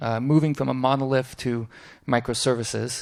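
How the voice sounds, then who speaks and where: Fairly quick speech with fairly even intonation comes through on a very clean recording with a silent background. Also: man. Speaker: conference speaker. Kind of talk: conference talk. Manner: fast.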